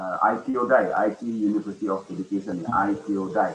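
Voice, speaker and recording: A man with an Indonesian accent, fairly low-pitched, at a moderate pace with ordinary pitch variation, against noticeable background noise. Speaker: education official and webinar speaker. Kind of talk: webinar talk. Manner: halting.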